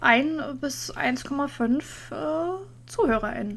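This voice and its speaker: A woman's voice amid noticeable background noise. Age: 30s. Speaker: podcast co-host. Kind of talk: casual chat.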